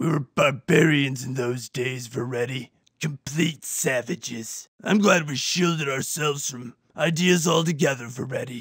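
A raspy male voice of fairly high pitch at a moderate pace, with ordinary pitch variation. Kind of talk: parody cop-drama acting. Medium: comedy sketch.

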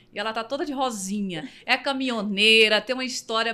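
A woman's fairly high, bright and sharp voice with an animated tone. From Bahia, Brazil. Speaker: podcast host and singer; podcast host. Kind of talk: casual chat. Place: studio. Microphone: studio mic.

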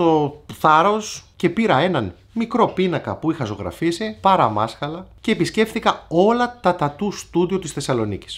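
The delivery moves at a fairly slow pace. Pitch swings very widely from high to low. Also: man. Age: 40s. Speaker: tattoo artist and YouTuber; YouTuber. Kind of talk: casual vlog advice talk. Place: shop.

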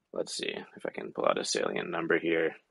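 With an American accent, a man talks in a dry, close sound that has no echo. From US. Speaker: recruiter. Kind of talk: panel discussion. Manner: halting, many filler words.

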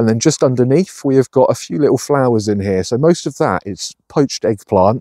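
Over a quiet background, a man with a dark, mellow tone speaks at a fairly quick pace with lively intonation. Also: dry sound with no echo. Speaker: allotment gardener vlogger. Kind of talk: casual vlog chat. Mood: cheerful, enthusiastic. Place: garden. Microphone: phone near.

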